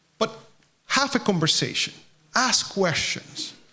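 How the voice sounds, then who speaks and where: Someone speaks at a moderate pace with a Puerto Rican accent. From Puerto Rico. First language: Spanish. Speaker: charity representative. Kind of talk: speech to an audience.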